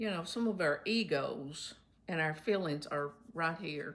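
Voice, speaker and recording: A woman with a Kentucky accent speaks at a fairly slow pace. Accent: Southern US (Kentucky). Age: 70s. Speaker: retired substitute teacher. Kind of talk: casual talk to camera.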